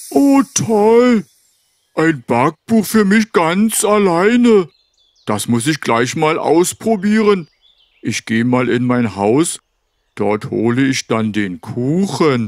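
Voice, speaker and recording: In a cartoonish character voice, a man talks very slowly at a fairly high pitch, his pitch swinging very widely between long, frequent pauses. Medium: puppet. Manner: pleading, then grateful.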